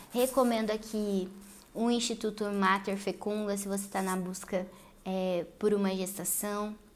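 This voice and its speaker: A woman talks at a moderate pace and a medium pitch. Her intonation is monotone and flat. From Paraná, Brazil. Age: 20s. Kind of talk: solo religious lifestyle podcast monologue.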